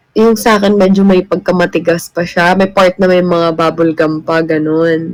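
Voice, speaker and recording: A woman speaks in a fairly low, flat monotone. Her pace is fairly slow. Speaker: live streamer. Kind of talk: casual chat. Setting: livestream.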